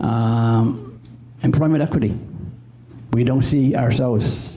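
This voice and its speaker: A man at a very slow pace, with ordinary pitch variation, audible room echo and noticeable background noise. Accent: Maritime Canadian. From Cape Breton, Nova Scotia (Mi'kmaq community). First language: Mi'kmaq. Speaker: audience member. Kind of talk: audience comment at panel.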